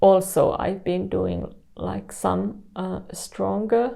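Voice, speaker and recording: Very slowly, a woman talks in a dark, mellow tone at a fairly low pitch with ordinary pitch variation. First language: Finnish. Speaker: artist. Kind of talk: interview. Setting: artist studio. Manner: halting.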